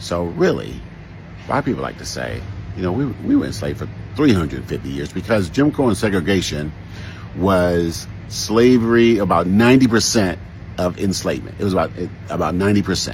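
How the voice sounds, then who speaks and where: Audible room echo surrounds a man with an American accent whose very deep, low voice moves at a fairly quick pace with very wide pitch swings. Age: 60s. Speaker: social commentator. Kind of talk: commentary monologue.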